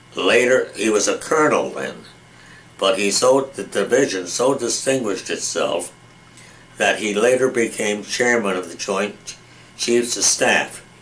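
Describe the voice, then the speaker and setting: A man with medium pitch speaks over noticeable background noise. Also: ordinary pitch variation. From western Massachusetts (Springfield). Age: 90s. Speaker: retired judge and war veteran. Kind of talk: oral history interview. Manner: halting, many repetitions and false starts.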